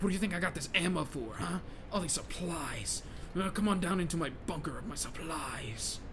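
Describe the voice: A man puts on a raspy, high-pitched character voice at a moderate pace. Loud background noise runs behind him.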